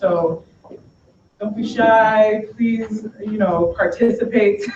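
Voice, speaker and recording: The speech comes very slowly in a Boston accent. Noticeable background noise sits underneath. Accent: American, Boston. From US, Boston. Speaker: tech company education specialist. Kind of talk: conference talk. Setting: school event room with audience. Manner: energetic.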